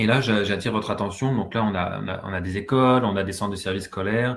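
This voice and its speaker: This man's voice sits at a fairly low pitch with fairly even intonation. He moves at a fairly quick pace. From France. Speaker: university professor and researcher. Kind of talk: webinar presentation. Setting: video call webinar. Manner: hesitant, many filler sounds.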